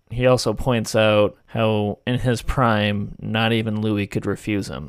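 In a very clean recording with a silent background, a man speaks fairly slowly in a normal speaking voice, his fairly low pitch held to fairly even intonation. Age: 20s. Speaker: podcast host, film reviewer. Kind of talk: solo film review monologue.

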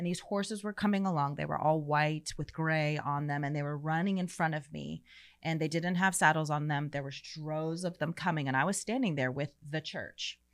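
A woman with an American accent speaks at a fairly quick pace with hardly any pauses, in a very deep, low pitch with ordinary pitch variation, captured in a very clean recording with a silent background. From Florida, US. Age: 40s. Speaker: dancer and ministry leader. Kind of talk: casual chat.

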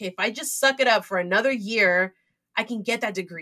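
A woman speaks in a Californian accent at a medium pitch and a moderate pace. Her tone is bright and sharp, with ordinary pitch variation. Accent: Californian American English. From US West Coast, San Francisco Bay Area. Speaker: entrepreneur and community founder. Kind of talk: interview.

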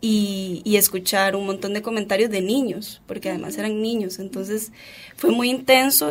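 A woman speaks in a normal speaking voice, at a medium pitch with ordinary pitch variation. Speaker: footballer and philosophy graduate. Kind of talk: radio interview.

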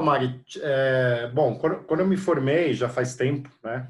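A man speaks with ordinary pitch variation. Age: 40s. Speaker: PR agency executive. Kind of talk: interview. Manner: hesitant with many fillers.

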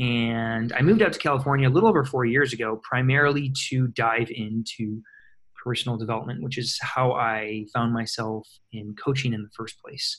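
A man with an American accent speaks in a plain, everyday voice at medium pitch, with fairly even intonation and a moderate pace. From US Midwest, small-town Michigan. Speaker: personal development coach and author. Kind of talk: interview, personal story.

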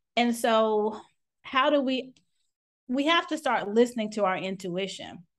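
A woman's high-pitched voice at a fairly slow pace against a quiet background. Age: 40s. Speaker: physician and burnout consultant. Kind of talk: interview.

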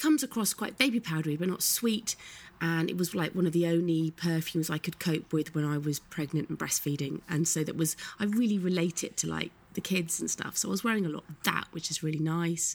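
Speaking fairly quickly with a British accent, a woman uses a fairly low pitch and ordinary pitch variation. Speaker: podcast co-host. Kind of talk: casual banter chat.

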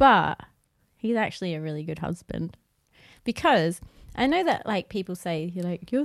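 A woman with an Australian accent talks at a fairly quick pace in a medium-pitched voice with lively intonation. The recording is very clean, with a silent background. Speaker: podcast co-host. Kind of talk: casual chat. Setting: live-streamed video recorded at home.

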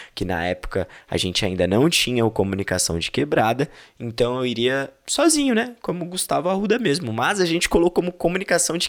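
A man with vocal fry speaks at a fairly high pitch and a fairly quick pace, his tone animated and his pitch swinging very widely. The recording is very clean, with a silent background. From São Paulo, East Zone. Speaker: podcast host and event correspondent. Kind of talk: casual vlog-style chat and event coverage.

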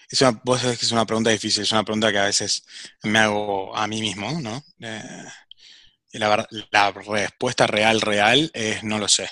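Moderately paced, a man speaks with a fairly low pitch and a bright, sharp tone, his intonation flat and monotone. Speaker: startup executive. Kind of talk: interview.

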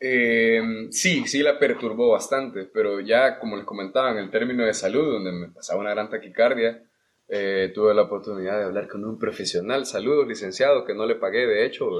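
An unremarkable speaking voice from a man, medium in pitch with ordinary variation, at a fairly quick pace. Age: 20s. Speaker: podcast guest. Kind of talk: casual chat.

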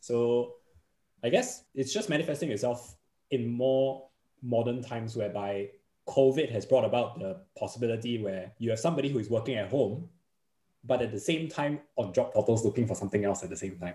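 A man with a Singaporean accent speaks at a medium pitch and a fairly quick pace, his tone dark and mellow. His voice is somewhat breathy, with ordinary pitch variation. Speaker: podcaster, insurance trainer. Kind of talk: casual interview chat.

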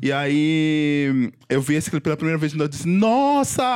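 With a normal speaking voice, a man talks at a fairly high pitch. His intonation is lively. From Pernambuco, Brazil. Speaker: podcast host. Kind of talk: casual chat.

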